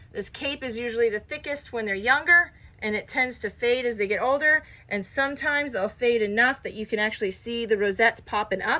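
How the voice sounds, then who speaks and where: Over noticeable background noise, a woman with a fairly high pitch speaks at a fairly quick pace with ordinary pitch variation. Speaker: cat breeder. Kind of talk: casual show-and-tell video.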